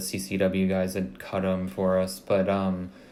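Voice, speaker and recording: A soft-spoken man talks with a very deep, low pitch. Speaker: car show organizer. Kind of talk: podcast interview answer.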